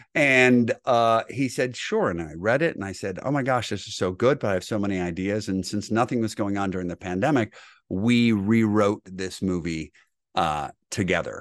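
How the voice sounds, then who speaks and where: With an American accent, a man speaks at a moderate pace in a fairly low pitch with ordinary pitch variation and an animated tone. The background is quiet. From Michigan, US Midwest (Grosse Pointe). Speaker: actor. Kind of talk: radio interview.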